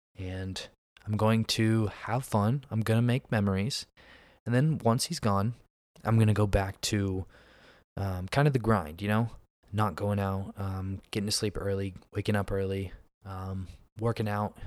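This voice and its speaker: A man with a normal speaking voice talks at a fairly slow pace in a fairly low pitch with fairly even intonation, on a very clean recording with a silent background. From US Northeast, Pennsylvania. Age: 20s. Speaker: podcast host. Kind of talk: solo monologue podcast. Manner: casual, frequent fillers (um, uh).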